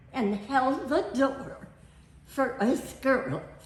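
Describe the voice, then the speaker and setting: With an American accent, the speaker talks at a very slow pace amid audible room echo and noticeable background noise. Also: woman. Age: 80s+. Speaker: family elder telling her life story. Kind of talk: storytelling. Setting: family reunion.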